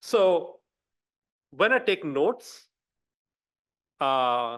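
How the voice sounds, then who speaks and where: A man with a non-native accent speaks at a high pitch with very wide pitch swings. The background is quiet. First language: not English; speaks three languages. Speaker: visiting scholar, education policy researcher. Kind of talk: academic talk. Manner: halting, many fillers and restarts.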